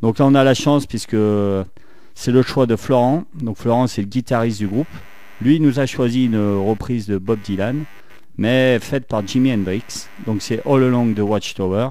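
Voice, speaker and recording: A man speaks at a moderate pace with a medium pitch and a dark, mellow tone, leaving long, frequent pauses. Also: ordinary pitch variation. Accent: Saint-Étienne. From France, Saint-Étienne. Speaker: radio host. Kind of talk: radio show.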